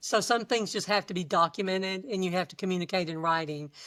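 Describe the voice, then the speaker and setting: At a very fast pace, a woman with a Texan accent speaks at medium pitch with ordinary pitch variation, on a very clean recording with a silent background. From South Texas. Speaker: HR manager. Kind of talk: interview conversation.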